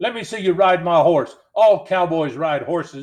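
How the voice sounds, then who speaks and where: A man's gruff, put-on character voice, high in pitch, at a moderate pace. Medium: read story. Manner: drawling Western slang.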